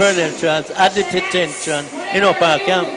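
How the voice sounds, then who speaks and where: Noticeable background noise sits under a man's voice. He speaks at a moderate pace and a high pitch. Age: 80s+. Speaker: retired army sergeant, war-era veteran. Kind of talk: radio interview answer.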